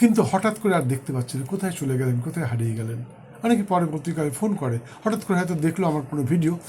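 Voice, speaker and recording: A man with a dark, mellow tone and lively intonation. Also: fairly high pitch for a man. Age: 60s. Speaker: astrologer. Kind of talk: horoscope monologue to camera. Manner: halting, in short phrases.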